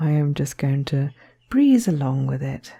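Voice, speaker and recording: A soft-spoken woman with a British RP accent, very wide pitch swings, and a moderate pace. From Southern England. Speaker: artist. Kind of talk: ASMR art tutorial talk to camera.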